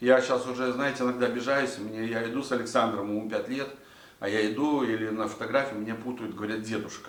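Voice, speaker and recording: A man speaks at a very fast pace and a medium pitch, with monotone, flat intonation. Audible room echo surrounds his voice. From Latvia. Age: 60s. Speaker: vlogger. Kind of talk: casual monologue to camera. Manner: halting, many filler sounds.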